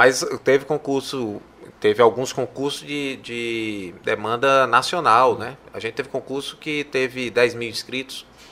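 A man with a bright, sharp tone and medium pitch speaks at a fairly slow pace, keeping fairly even intonation despite big swings in loudness. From Fortaleza, Ceará, Brazil. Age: 40s. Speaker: public health researcher and professor. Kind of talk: interview conversation. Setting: studio.

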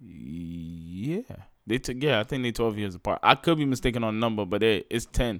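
On a very clean recording with a silent background, a man with an unremarkable speaking voice of medium pitch speaks at a moderate pace with lively intonation. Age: 20s. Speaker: podcast co-host. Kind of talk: casual chat.

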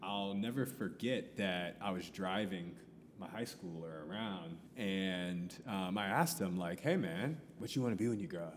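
The voice moves at a moderate pace with ordinary pitch variation, and the room echo is audible. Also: man, very deep, low pitch for a man. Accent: American. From US Midwest, Columbus, Ohio. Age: 30s. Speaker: educator. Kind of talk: casual interview chat. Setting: coffee shop.

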